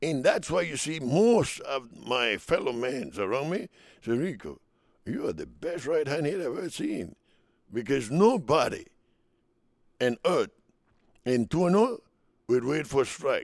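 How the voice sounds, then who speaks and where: Pausing long and often, a man with a Spanish accent talks at a fairly slow pace in a fairly high pitch, with vocal fry and lively intonation. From Dominican Republic. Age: 70s. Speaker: retired baseball player. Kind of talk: interview storytelling.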